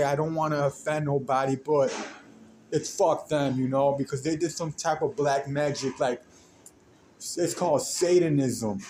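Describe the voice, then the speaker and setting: Fairly high for a man, his somewhat breathy voice has a dark, mellow tone and moves at a moderate pace. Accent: American. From US, Mexican American. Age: 30s. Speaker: podcaster. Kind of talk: personal monologue. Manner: rambling, halting with restarts.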